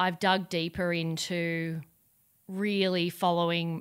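In a very clean recording with a silent background, a woman with a fairly low voice speaks very slowly and with fairly even intonation. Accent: Australian. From Australia. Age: 40s. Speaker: entrepreneur. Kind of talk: interview.

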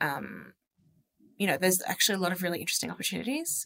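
Recorded dry and close with no echo, a woman speaks with an Australian accent. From Sydney, Australia. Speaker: social media lead at an investment firm. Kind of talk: casual interview chat.

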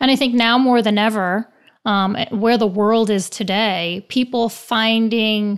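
In an American accent, a woman with an unremarkable speaking voice talks at a fairly slow pace and fairly high pitch, her intonation fairly even, on a very clean recording with a silent background. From New York. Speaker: company CEO interviewer. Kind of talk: interview conversation.

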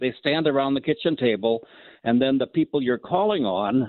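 With an Upper Midwest accent, a man speaks at a medium pitch with ordinary pitch variation. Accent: Upper Midwest (Minnesota). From Minnesota, small Norwegian community. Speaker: caller. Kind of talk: call-in radio chat.

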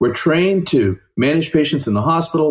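This man has a normal speaking voice. His pace is fairly quick. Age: 40s. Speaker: family doctor. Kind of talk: interview.

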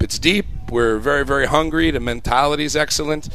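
Noticeable background noise fills the clip. A man talks at a fairly quick pace. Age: 40s. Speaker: college soccer coach. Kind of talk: radio interview. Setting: live broadcast on campus. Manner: hesitant, many ums.

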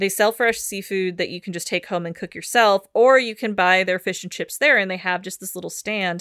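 A woman at medium pitch talks with an American accent at a fairly quick pace, with hardly any pauses and big swings in loudness. Her tone is animated, bright and sharp, in a very clean recording with a silent background and a dry, close sound with no echo. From Washington State, US Pacific Northwest. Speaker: podcast co-host. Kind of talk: casual chat. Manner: animated, laughing often.

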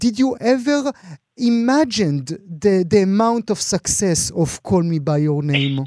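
A man with an Israeli accent talks at a fairly slow pace, with lively intonation and a dark, mellow tone. The recording is very clean with a silent background, and the sound is dry and close with no echo. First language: Hebrew. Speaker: radio interviewer. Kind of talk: radio interview, bilingual Hebrew and English. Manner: halting, with fillers.

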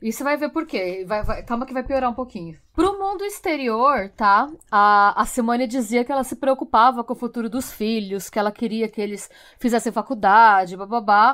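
A woman with a fairly high pitch and an ordinary speaking voice talks at a moderate pace with lively intonation. The recording is very clean, with a silent background. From Brazil. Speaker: true crime podcast host. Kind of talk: true crime storytelling.

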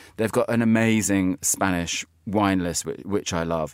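This man has a normal speaking voice, fairly low in pitch, with ordinary pitch variation at a fairly slow pace. The recording is very clean, with a silent background. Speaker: magazine editor in chief. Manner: witty, jokey, chatty.

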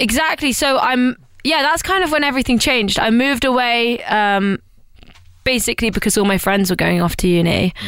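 A woman speaks with an East Midlands accent at a fairly quick pace, her pitch high and her intonation lively. Her loudness stays very even. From East Midlands, England (rural Lincolnshire near Nottingham). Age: 20s. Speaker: pop musician. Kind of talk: casual interview chat.

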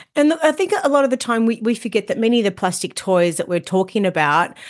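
A woman speaks at a fairly quick pace in an Australian accent, her tone warm and upbeat. The background is quiet. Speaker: podcast host. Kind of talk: podcast interview, with ad read. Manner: warm, upbeat.

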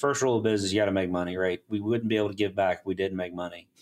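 The voice belongs to a man. He speaks in a Southern US accent. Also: very clean recording, silent background. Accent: Southern US (Georgia). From US South, South Georgia. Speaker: engineering firm CEO. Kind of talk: interview.

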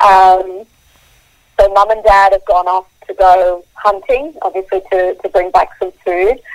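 Speaking at a fairly slow pace, a woman with an Australian accent keeps a medium pitch and fairly even intonation. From Australia, Queensland. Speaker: wildlife photographer. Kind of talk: interview.

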